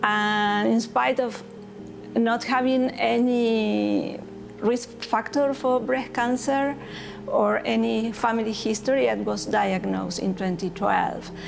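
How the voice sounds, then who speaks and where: A woman with a Spanish accent at a very slow pace, her loudness very even, amid noticeable background noise and audible room echo. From Argentina. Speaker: breast cancer survivor paddler. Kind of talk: testimony.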